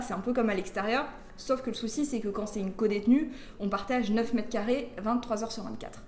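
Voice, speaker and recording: Very fast speech with fairly even intonation, audible room echo and noticeable background noise. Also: woman. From France, Grenoble region (rural). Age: 20s. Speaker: former prisoner, prisoners' rights activist. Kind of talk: interview testimony.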